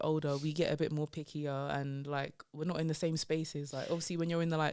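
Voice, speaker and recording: Someone talks at a fairly quick pace in a London accent. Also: woman. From London, England. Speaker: comedian. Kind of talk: casual chat. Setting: podcast interview.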